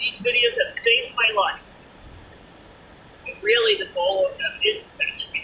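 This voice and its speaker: A woman speaks with a Boston accent at a moderate pace. Noticeable background noise can be heard. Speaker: vlogger. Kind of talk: casual vlog monologue.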